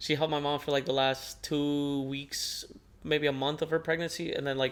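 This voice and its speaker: A man with a Spanish accent speaks at a fairly high pitch in a monotone, flat intonation. The recording is very clean, with a silent background. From northern Mexico border (Nogales, Sonora). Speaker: podcast co-host. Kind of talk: casual chat. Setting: living room.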